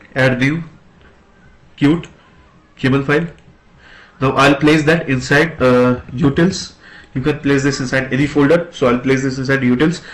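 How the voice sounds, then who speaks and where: A man with fairly high pitch speaks at a moderate pace, somewhat breathy. His intonation is fairly even, with long, frequent pauses. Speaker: programming tutor. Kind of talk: tutorial. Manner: hesitant, many filler sounds.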